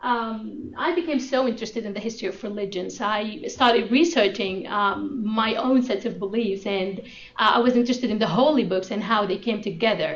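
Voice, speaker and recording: A woman with an Arabic accent at a fairly high pitch and a fairly quick pace, with hardly any pauses, amid noticeable background noise and audible room echo. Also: ordinary pitch variation. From Sudan, Khartoum. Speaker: graduate student researcher. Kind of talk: research presentation. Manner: halting, many fillers.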